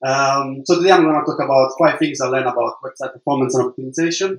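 The man talks at a fairly quick pace in a medium pitch. His intonation stays fairly even. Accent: Italian. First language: Italian. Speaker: web developer. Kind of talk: conference talk. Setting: stage with audience. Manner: halting.

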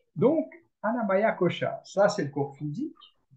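A man at a very slow pace. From France. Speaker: yoga teacher and therapist. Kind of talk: interview questions, explaining yoga concepts. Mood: calm, friendly, explaining. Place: home room. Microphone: video call.

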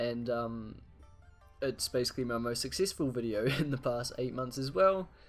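Moderate-paced speech over music in the background. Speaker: gaming youtuber. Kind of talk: casual gameplay commentary.

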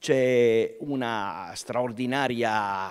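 The background stays quiet while a man talks. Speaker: event presenter; presenter. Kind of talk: live event hosting. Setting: stage with audience. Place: stage. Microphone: podium.

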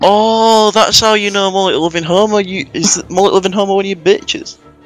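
A man mumbles in a gruff, put-on character voice pitched high, at a fairly quick pace. Faint music plays in the background. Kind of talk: crude, street talk. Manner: mumbling, gruff.

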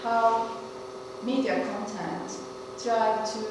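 Strong room echo and noticeable background noise fill the recording. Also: woman. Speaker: speaker. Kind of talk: lecture. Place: classroom. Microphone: camera far.

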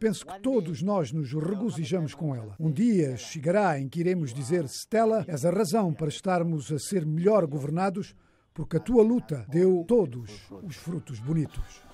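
Dark and mellow in tone, the voice moves at a fairly slow pace with hardly any pauses and very wide pitch swings. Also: man. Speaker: news reporter. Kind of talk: news reading. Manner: formal, steady.

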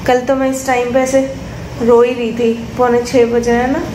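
A woman speaks in a high, monotone voice with flat intonation. Her pace is moderate, and background noise is noticeable. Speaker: new mother vlogger. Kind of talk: casual vlog chat. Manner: weak, drowsy post-surgery voice. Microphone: phone near.

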